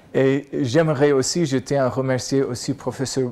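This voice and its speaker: On a very clean recording with a silent background, a man with an American accent and a dark, mellow tone talks at a fairly slow pace with ordinary pitch variation. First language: English (speaking French). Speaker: professor. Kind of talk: lecture.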